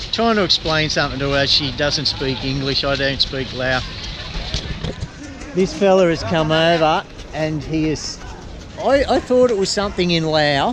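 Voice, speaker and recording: A man with an Australian accent and a fairly high pitch speaks with lively intonation and long, frequent pauses. Music plays in the background. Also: moderate pace. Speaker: travel vlogger. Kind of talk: casual vlog chat.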